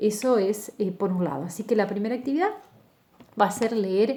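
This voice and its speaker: A woman at a fairly high pitch with a plain, everyday voice and a fairly quick pace. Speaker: university lecturer. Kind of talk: lecture.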